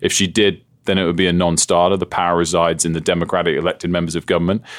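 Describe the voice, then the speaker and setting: A man with a British accent at a very fast pace, on a very clean recording with a silent background. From England. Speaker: TV journalist and broadcaster. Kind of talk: interview conversation.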